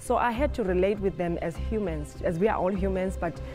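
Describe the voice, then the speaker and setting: Clear music plays behind a woman who talks at a fairly quick pace. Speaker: choreographer. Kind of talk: interview answer. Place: hall. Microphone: lapel.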